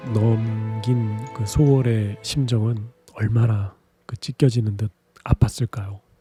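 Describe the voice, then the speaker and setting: A man speaks at a very slow pace in a calm, soothing tone, his voice dry and close with no echo while music plays in the background. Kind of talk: sleep talk.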